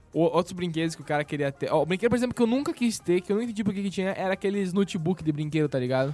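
With music in the background, a high-pitched man speaks at a very fast pace with hardly any pauses and lively intonation, in a dry, close sound with no echo. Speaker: podcast host. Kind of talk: casual chat.

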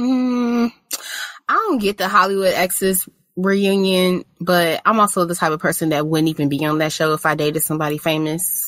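A woman with an unremarkable speaking voice talks at a medium pitch and moderate pace, with ordinary pitch variation. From US South, Mississippi. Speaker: podcast co-host. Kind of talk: casual chat.

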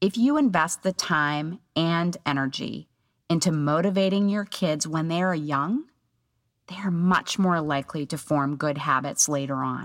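In an unremarkable speaking voice, a woman talks at a fairly slow pace, her pitch fairly low with ordinary pitch variation. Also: very clean recording, silent background. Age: 50s. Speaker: podcast host, psychologist and homeschooling mother. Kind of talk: solo podcast monologue.

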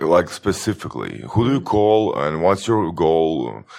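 A man's very deep, low voice with vocal fry, ordinary pitch variation and a Croatian accent. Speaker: podcast co-host. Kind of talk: podcast interview.

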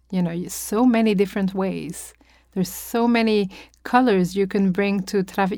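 At a moderate pace, a woman with a French accent uses a medium pitch, a dark, mellow tone, and fairly even intonation on a very clean recording with a silent background. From France. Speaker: opera singer. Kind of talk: interview. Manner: halting.

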